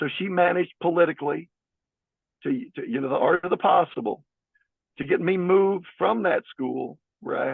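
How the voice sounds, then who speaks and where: A man talking at a moderate pace. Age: 60s. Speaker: school board candidate, former school counselor. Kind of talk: interview. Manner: halting, with frequent restarts.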